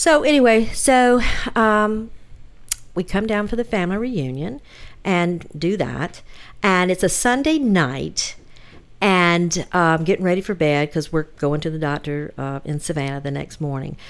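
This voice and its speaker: In a very clean recording with a silent background, a woman with a Southern US accent talks at a fairly slow pace and fairly low pitch, her pitch swinging very widely. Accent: Southern US (Georgia). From US South, Georgia (Hinesville). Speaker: podcast guest, host's relative. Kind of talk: personal storytelling.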